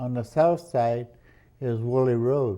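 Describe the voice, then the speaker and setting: A man speaks at a medium pitch in a dark, mellow tone, with fairly even intonation. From Oxnard, California, US. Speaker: internment survivor. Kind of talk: oral history interview. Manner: halting.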